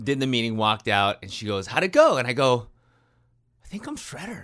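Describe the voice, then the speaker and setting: A man at a moderate pace, on a very clean recording with a silent background. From California. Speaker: actor. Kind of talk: casual chat. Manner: animated.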